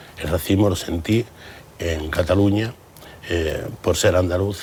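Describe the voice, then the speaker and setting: Noticeable background noise surrounds a man whose very deep, low pitch shows ordinary variation. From Andalusia, Campo de Gibraltar, Cádiz. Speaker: businessman. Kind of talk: TV interview. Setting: TV studio.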